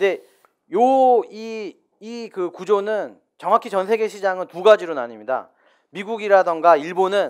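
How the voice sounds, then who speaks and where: A man's high-pitched voice with lively intonation at a moderate pace, on a very clean recording with a silent background. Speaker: business owner. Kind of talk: live talk show interview. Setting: studio with live audience.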